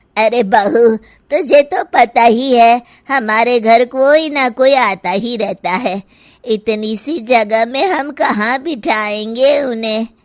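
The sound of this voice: Putting on a cartoonish character voice, a woman speaks at a high pitch and a fairly slow pace.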